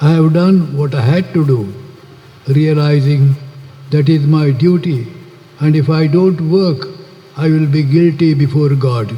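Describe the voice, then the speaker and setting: A man with a fairly high pitch talks at a fairly slow pace, with long, frequent pauses and very even loudness. Noticeable background noise runs underneath. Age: 80s+. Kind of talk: public speech.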